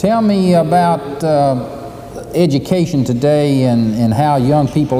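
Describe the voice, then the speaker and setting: A man's intonation is lively, heard over noticeable background noise. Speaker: TV interviewer, university host. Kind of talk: TV interview host.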